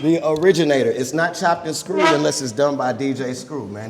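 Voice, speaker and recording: Over noticeable background noise and audible room echo, a man with an American accent talks fast-ish, at a fairly quick pace, in a fairly high pitch. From Texas. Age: 20s. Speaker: rapper. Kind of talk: live podcast interview. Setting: stage with audience.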